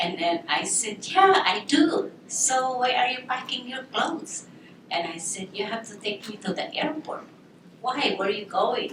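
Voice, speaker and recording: At a fairly slow pace, a woman with a Filipino accent speaks at a high pitch with very wide pitch swings, amid noticeable background noise and audible room echo. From Philippines. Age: 60s. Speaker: military veteran. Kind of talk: personal story talk. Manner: animated storytelling.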